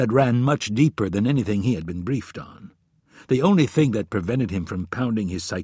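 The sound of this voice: Lively intonation marks the delivery. It is an unforced reading voice.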